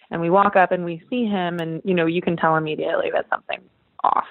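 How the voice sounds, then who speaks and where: Fairly low-pitched woman with a Californian accent and ordinary pitch variation. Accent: Californian American. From Northern California. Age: 20s. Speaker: Olympic water polo champion. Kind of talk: casual interview. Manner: animated.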